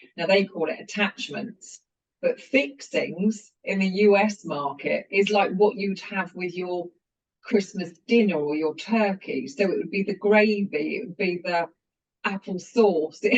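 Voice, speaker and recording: The speaker has a British accent and delivers the words at a fairly slow pace. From UK. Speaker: company founder and CEO. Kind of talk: interview.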